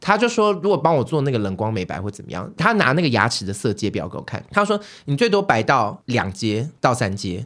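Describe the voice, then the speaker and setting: The delivery is fairly quick, with hardly any pauses and very wide pitch swings. The recording is very clean, with a silent background. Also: man, medium pitch for a man. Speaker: recurring podcast guest. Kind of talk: casual chat. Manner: odd new speaking intonation.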